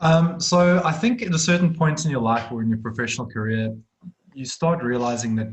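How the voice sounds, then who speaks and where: With a South African accent, a man speaks at a fairly quick pace using lively intonation. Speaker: accounting firm director. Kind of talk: webinar interview. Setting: video call.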